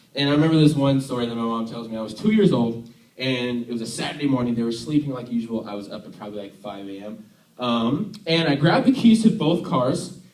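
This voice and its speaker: In an American accent, a man talks at a fairly quick pace. There is audible room echo. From US, Army family; born Tennessee. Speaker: youth worship leader. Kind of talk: sermon. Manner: casual, halting with fillers.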